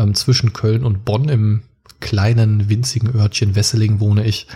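A man speaks at a medium pitch with a dark, mellow tone. His delivery is fairly slow and somewhat breathy. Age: 30s. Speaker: podcaster and childcare educator. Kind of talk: casual interview.

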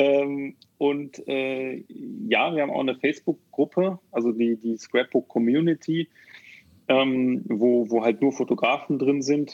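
The man delivers his words very slowly. His voice is pitched fairly high. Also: ordinary pitch variation. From Rhineland, Germany (Neuss near Düsseldorf). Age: 30s. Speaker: software developer and founder. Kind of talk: podcast interview. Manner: hesitant, many fillers.

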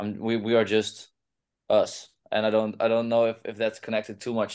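A man with a Dutch accent speaks at a moderate pace and a medium pitch. The background is quiet. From Groningen, Netherlands. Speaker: rock band singer. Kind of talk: casual interview. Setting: video call.

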